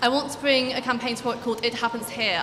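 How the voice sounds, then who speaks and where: Over music in the background and with audible room echo, a woman talks at a very fast pace in a monotone, flat intonation. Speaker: student election candidate. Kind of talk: campaign speech.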